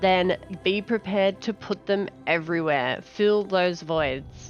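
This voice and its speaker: With an Australian accent, a woman speaks at a very slow pace and very even loudness while music plays in the background. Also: medium pitch for a woman, ordinary pitch variation. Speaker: gaming content creator. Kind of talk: casual game preview talk.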